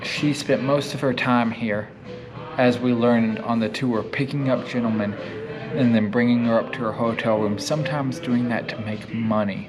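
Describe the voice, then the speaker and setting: Music plays behind a man with a medium-pitched voice and fairly even intonation. He talks at a moderate pace in a room with audible echo. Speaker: paranormal explorer YouTuber. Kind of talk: vlog narration.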